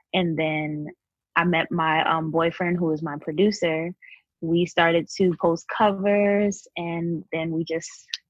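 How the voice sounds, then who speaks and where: A woman with a New York accent speaks at a fairly slow pace and a fairly low pitch in monotone, flat intonation. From Queens, New York. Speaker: singer-songwriter. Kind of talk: interview.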